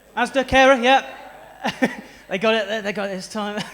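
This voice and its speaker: With a South West English accent, a man talks at an extremely high pitch with ordinary pitch variation. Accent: South West English, noticeable. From South West England (Stroud, near Bristol). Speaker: stand-up comedian. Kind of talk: stand-up. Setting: stage with audience.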